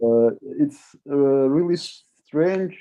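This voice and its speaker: Very slowly, a man with a non-native accent speaks at a fairly high pitch with ordinary variation. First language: not English. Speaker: discussion moderator. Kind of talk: panel discussion. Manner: halting.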